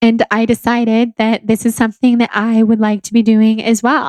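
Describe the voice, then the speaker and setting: A woman with a Southern California accent speaks at a moderate pace in a fairly high voice, the sound dry and close with no echo. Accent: Valley girl, Californian. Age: 20s. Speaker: podcast host and blogger. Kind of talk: solo podcast monologue. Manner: calm.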